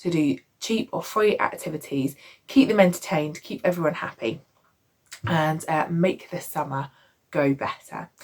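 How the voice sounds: In a raspy, hoarse, put-on character voice, the speaker uses lively intonation at a moderate pace with long, frequent pauses. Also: woman, fairly low pitch for a woman.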